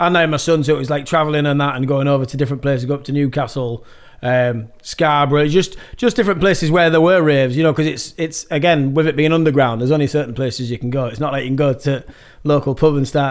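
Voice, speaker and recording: A man's fairly high voice in a Yorkshire accent at a very fast pace with ordinary pitch variation, on a very clean recording with a silent background. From northern England, Yorkshire (Malton). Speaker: rave MC and music producer. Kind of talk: casual chat.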